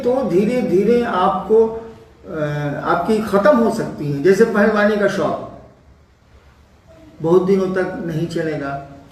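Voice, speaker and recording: A man with a high pitch speaks with lively intonation. Audible room echo and noticeable background noise surround him. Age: 70s. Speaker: spiritual teacher. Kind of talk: spiritual discourse answering questions.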